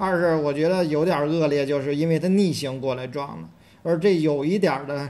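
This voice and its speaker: Amid audible room echo, a man with a fairly high pitch talks at a moderate pace with fairly even intonation. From Beijing, southern city. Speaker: podcast co-host. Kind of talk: casual chat.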